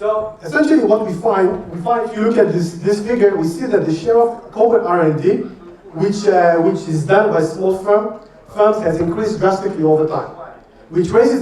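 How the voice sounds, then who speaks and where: Speaking at a fairly quick pace with ordinary pitch variation, the voice carries audible room echo over noticeable background noise. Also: man. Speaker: professor. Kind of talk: lecture. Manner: fast.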